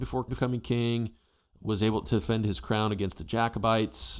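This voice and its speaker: A man speaks at a very fast pace with an American accent, on a very clean recording with a silent background. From United States. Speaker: history YouTuber. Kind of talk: casual opinion commentary.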